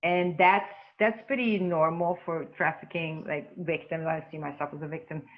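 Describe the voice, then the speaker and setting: Moderate pace with ordinary pitch variation. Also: woman, fairly low pitch for a woman. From Hungary. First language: Hungarian. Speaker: trafficking survivor and coach. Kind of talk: testimony. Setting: podcast interview.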